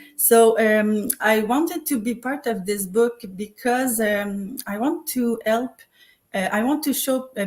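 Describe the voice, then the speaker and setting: Speaking in a Quebec French accent, a woman has a fairly high, somewhat breathy voice with ordinary pitch variation. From Quebec, Montreal. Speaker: co-author and online business coach. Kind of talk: live panel self-introduction. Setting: live online stream. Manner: halting.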